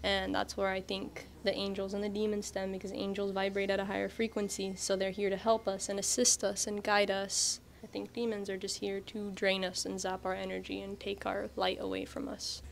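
A woman's fairly quick speech comes through light background noise. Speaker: interviewee. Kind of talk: interview answer. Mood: calm, earnest. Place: shop. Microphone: handheld.

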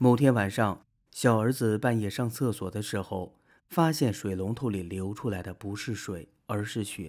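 The recording is very clean, the background silent, as a man talks fairly slowly at a fairly low pitch with ordinary variation. It is an unremarkable speaking voice. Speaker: video narrator. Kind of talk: true-crime horror narration, film-recap storytelling. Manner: steady, measured storyteller pacing, building eerie suspense.

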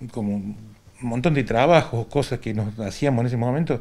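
A man at a moderate pace, ordinary pitch variation, quiet background. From Argentina, Córdoba province. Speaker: retired volunteer firefighter. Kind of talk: interview testimony. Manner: halting. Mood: reminiscing, calm. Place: home room. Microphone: handheld.

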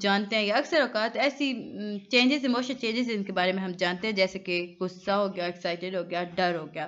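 This is an ordinary speaking voice. A woman speaks at a fairly high pitch. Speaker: online tutor. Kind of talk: lecture. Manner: conversational.

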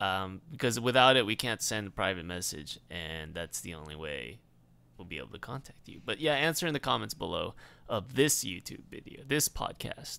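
A man with a fairly low pitch, vocal fry and a bright, sharp tone talks at a moderate pace, his pitch swinging very widely and his loudness rising and falling a lot, on a very clean recording with a silent background. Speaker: podcast co-host. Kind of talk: casual chat.

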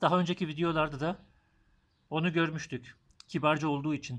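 Here a man with a fairly high voice and ordinary pitch variation comes through on a very clean recording with a silent background. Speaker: German language teacher. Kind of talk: tutorial. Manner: slow.

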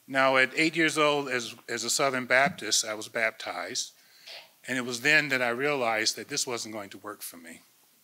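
A man speaks with an American accent and a bright, sharp tone. His loudness swings widely. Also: medium pitch for a man, ordinary pitch variation, moderate pace. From US Midwest. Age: 60s. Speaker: imam. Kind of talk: panel talk. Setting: stage with audience. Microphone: podium.

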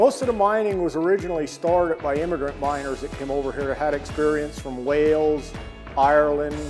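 A man speaking at a fairly quick pace with ordinary pitch variation over clear music in the background. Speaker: tour guide. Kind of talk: interview answer. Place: hall. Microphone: lapel.

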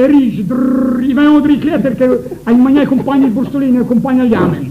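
Over noticeable background noise, a man speaks in an extremely high pitch with fairly even intonation. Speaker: dialect poetry reciter. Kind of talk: spoken introduction to an audience. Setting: live audience, auditorium. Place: hall. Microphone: old recording.

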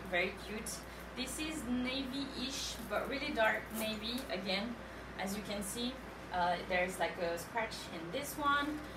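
Noticeable background noise sits behind the woman, who talks at a fairly slow pace. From France. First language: French. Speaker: live sale host. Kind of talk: live shopping presentation. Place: shop. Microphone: camera far.

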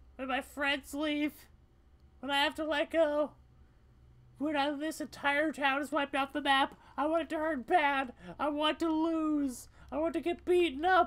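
A man uses a put-on character voice at an extremely high pitch, monotone and flat in intonation. He keeps a moderate pace with long, frequent pauses on a very clean recording with a silent background. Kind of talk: solo game voice acting. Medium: solo performance. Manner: raw, confessional, desperate.

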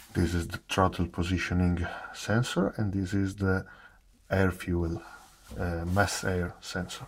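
Over light background noise, a man with a non-native accent speaks at a fairly slow pace with a very deep, low pitch and ordinary pitch variation. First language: not English. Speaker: car enthusiast. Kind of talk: casual technical walkaround to camera. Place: garage. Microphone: phone near.

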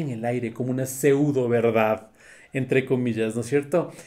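A man's fairly slow speech in a dark, mellow tone. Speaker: comedian and writer. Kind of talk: self-interview, casual talk.

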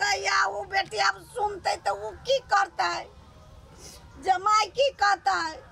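In a dry recording with no echo and light background noise, a woman speaks at a very slow pace. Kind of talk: dramatic lament in dialect. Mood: lamenting, pleading to god. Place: garden.

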